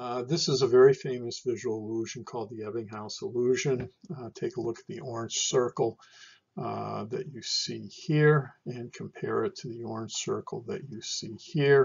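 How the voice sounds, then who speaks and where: At a moderate pace, a man speaks somewhat breathily with ordinary pitch variation and big swings in loudness. The background is quiet. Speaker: lecturer. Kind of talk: lecture. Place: home room. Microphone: webcam.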